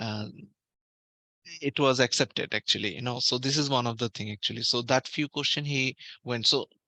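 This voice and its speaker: A man speaks fairly quickly at a medium pitch, with a bright, sharp tone and fairly even intonation, taking long, frequent pauses. The sound is dry and close with no echo against a quiet background. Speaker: medical exam tutor. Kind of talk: online class lecture. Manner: halting, many fillers.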